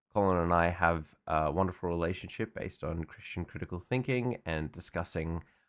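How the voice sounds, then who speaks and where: In a very clean recording with a silent background, a man speaks at a moderate pace. His pitch is very deep and low. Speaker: podcast host. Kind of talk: podcast intro.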